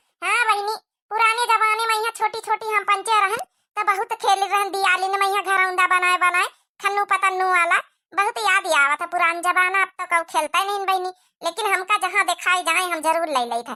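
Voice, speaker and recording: The speaker uses a put-on character voice at a moderate pace. The sound is dry and close, with no echo. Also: woman, extremely high pitch for a woman. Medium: comedy sketch. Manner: loud, bantering.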